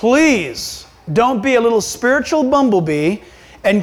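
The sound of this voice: With lively intonation, a man speaks at a moderate pace.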